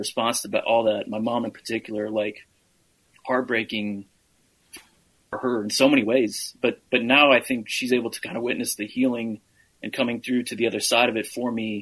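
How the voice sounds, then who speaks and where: In a monotone, flat intonation, a man talks at a moderate pace. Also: medium pitch for a man. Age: 40s. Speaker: advocate and real estate investor. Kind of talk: interview. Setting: studio.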